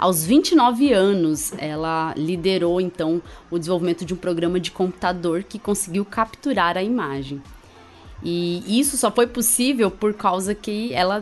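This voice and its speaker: At a moderate pace and medium pitch, a woman talks in a plain, everyday voice. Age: 30s. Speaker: podcast host, immunologist. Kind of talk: casual science podcast chat.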